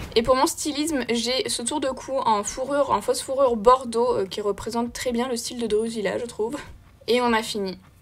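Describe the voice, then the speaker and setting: A woman speaks with a high pitch. Her pace is moderate and her intonation fairly even. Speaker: makeup content creator. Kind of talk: casual vlog chat. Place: home room.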